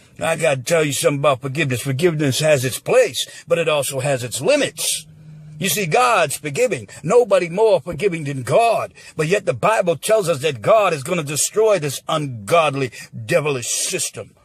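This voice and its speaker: A man's fairly high-pitched, animated voice with lively intonation at a moderate pace. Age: 60s. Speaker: political commentator. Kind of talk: impassioned monologue. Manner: animated, heated.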